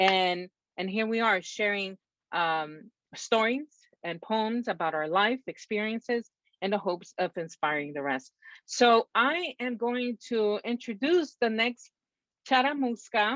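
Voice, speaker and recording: Recorded dry and close with no echo, a woman with a Salvadoran accent speaks fairly slowly, her fairly high pitch swinging very widely. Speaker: poetry event host. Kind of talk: event hosting introductions.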